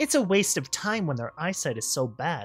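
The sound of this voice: An unforced reading voice carries the whole clip.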